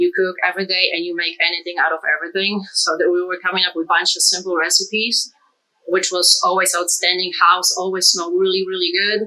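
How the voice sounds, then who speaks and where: Very fast delivery in a Polish accent, with monotone, flat intonation. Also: woman, medium pitch for a woman. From Poland. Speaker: cook. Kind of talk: casual chat; tutorial. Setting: home kitchen.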